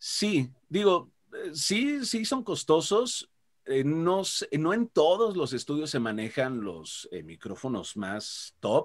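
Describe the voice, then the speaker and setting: A man's fairly high voice, very slow, with very wide pitch swings over a quiet background. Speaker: voice actor. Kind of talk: interview. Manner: animated. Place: home room. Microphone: video call.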